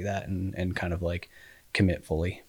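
A man speaks in a very deep, low pitch at a fairly quick pace, somewhat breathy. His intonation is monotone and flat, and the recording is very clean with a silent background. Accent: American. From Colorado (Colorado Springs). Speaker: endurance coach and cyclist. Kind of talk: casual chat.

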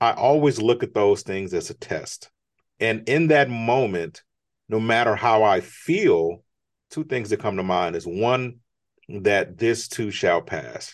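This man has a normal speaking voice and an American accent. He speaks at a fairly slow pace with lively intonation. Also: quiet background. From United States. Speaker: entrepreneur and author. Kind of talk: interview.

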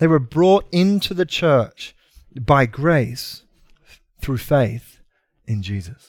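Very slow and marked by very wide pitch swings, a man's voice sits at a fairly high pitch. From Britain. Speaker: pastor. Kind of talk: sermon. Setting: church. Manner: usually energetic and over the top.

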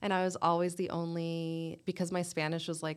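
In a very clean recording with a silent background, a woman with an ordinary speaking voice and fairly low pitch speaks at a moderate pace. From North Carolina (Clemmons, near Winston-Salem), born in North Jersey. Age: 30s. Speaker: journalist. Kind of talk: casual interview.

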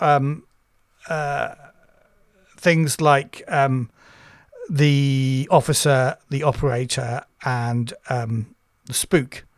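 Long, frequent pauses break up this speech delivered with a British accent. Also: man. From Britain. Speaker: tabletop RPG podcast co-host. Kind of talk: casual chat.

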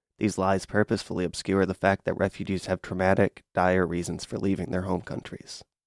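A man talks at a fairly quick pace with hardly any pauses, his very deep, low pitch held in a monotone, flat intonation. The recording is very clean with a silent background and a dry, close sound with no echo. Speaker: student radio reporter. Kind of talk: scripted narration.

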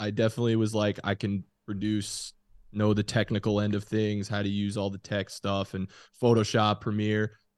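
A man talks at a moderate pace in a plain, everyday voice at medium pitch. Behind him the background is quiet. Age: 20s. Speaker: sports podcaster. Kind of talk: casual chat. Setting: studio.

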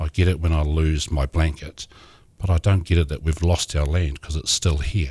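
His very deep, low voice is somewhat breathy and dark and mellow in tone, and the man speaks at a moderate pace with monotone, flat intonation. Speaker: city councillor. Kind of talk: interview. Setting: studio.

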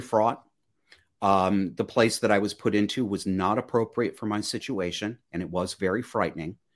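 In a very clean recording with a silent background, a man with a normal speaking voice talks at a moderate pace with a fairly low pitch and ordinary pitch variation. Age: 40s. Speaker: podcast host and life coach. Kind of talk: interview.

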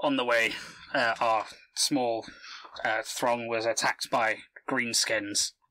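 In a put-on character voice, a man speaks at medium pitch with monotone, flat intonation. His pace is very slow, broken by long, frequent pauses. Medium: actual play. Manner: gruff, terse.

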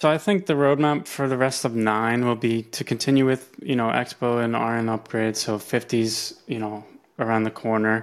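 A man with an American accent speaks in a normal speaking voice at a medium pitch and moderate pace, on a very clean recording with a silent background. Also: fairly even intonation, hardly any pauses. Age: 30s. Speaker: software engineer. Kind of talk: interview.

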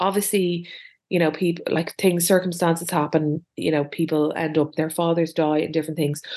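A woman's fairly low, dark, mellow voice in an Irish accent, monotone and flat, at a moderate pace with very even loudness over a quiet background. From Ireland. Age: 40s. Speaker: podcast co-host. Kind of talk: casual chat.

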